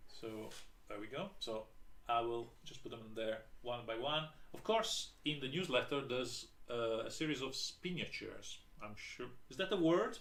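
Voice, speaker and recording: This man has a non-native accent, a medium pitch and lively intonation. He keeps a moderate pace, and room echo is audible. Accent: non-native English accent, self-noted. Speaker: board game designer. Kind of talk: live stream product presentation. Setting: live video stream. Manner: hesitant, many fillers.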